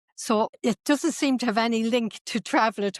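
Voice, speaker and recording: A woman speaks in an Irish accent at a fairly high pitch and a moderate pace. The recording is very clean, with a silent background and a dry, close sound with no echo. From northwest Ireland, Sligo. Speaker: tour company owner, former traditional singer. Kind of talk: interview.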